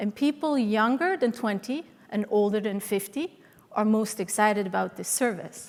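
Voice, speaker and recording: A woman with a Swiss accent speaks at a fairly high pitch. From Switzerland, Swiss mountains (Sion area). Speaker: transportation consultant. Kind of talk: conference presentation.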